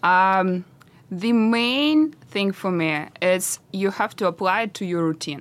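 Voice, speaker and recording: Someone speaks at a very slow pace. The voice carries a Russian accent. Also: woman, medium pitch for a woman, lively intonation. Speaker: entrepreneur. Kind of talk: interview. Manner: halting.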